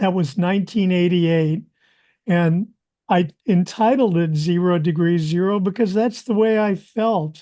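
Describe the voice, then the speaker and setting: A man's high voice with a dark, mellow tone, fairly slow delivery and ordinary pitch movement against a quiet background. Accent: American. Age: 70s. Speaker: composer and musician. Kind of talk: interview storytelling. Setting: podcast interview.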